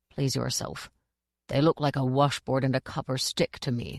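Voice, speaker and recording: A man does a put-on character voice at a medium pitch and a moderate pace. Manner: sneering, dismissive.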